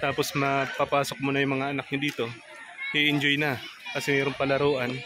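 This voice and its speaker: The speech comes at a moderate pace, and background noise can be noticed throughout. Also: man. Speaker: moto vlogger. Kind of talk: travel vlog narration. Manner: speaking quietly.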